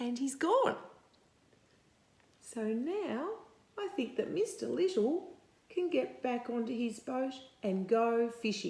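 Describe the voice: Vocal fry runs through a dark, mellow tone as the speaker talks at a slow pace with lively intonation and audible room echo. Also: woman, fairly high pitch for a woman.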